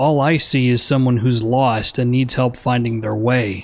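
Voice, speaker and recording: At a moderate pace, the speaker performs in a put-on character voice. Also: man, medium pitch for a man. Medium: video game. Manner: calm, gentle.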